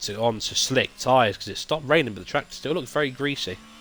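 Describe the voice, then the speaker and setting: A man speaking at a very fast pace with ordinary pitch variation, noticeable background noise behind him. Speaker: sim racing commentator. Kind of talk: live commentary. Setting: live stream. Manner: fast, stumbling over words.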